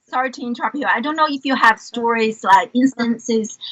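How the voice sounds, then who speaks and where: Ordinary pitch variation with a Chinese accent. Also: woman. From China, Beijing. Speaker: educator and entrepreneur. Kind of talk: interview conversation.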